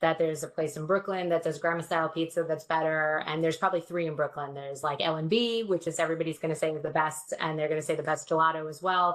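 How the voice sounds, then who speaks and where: With a New York accent, a woman talks at a very fast pace in a fairly low pitch. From New York City, Queens. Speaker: security industry guest. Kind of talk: casual chat. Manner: animated.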